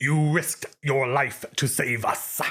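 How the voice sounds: Putting on a character voice, a man talks at a fairly slow pace with a fairly high pitch.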